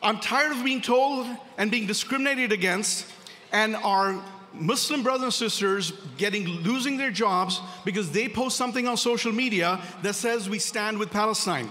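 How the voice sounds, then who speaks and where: A man shouts in a raised, projected, high-pitched voice with a passionate tone and ordinary pitch variation. Noticeable background noise and audible room echo come through. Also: moderate pace. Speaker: corporate attorney, gala speaker. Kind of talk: speech at a gala. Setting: banquet hall with audience. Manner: loud, shouting.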